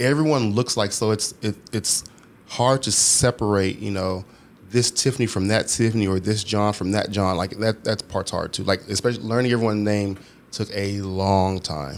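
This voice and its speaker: A plain, everyday voice, a man with an American accent, fairly low in pitch, at a moderate pace with fairly even intonation. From Texas, Houston. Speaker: nightclub operations manager. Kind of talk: casual chat.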